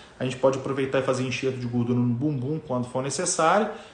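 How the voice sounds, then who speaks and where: Noticeable background noise and audible room echo surround a man speaking at a very fast pace. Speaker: plastic surgeon. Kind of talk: live stream talk to viewers. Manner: casual, filler-heavy.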